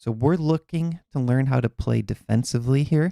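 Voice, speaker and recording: A man with a Minnesotan accent, medium pitch, a dark, mellow tone, lively intonation and a moderate pace, in a dry, close sound with no echo. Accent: Minnesota. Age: 40s. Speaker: chess coach. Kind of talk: live online chess class. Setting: live stream. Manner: casual, conversational.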